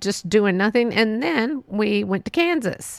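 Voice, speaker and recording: The speaker is a woman with a medium pitch. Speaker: podcast host. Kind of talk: casual monologue. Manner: rambling, laughs often.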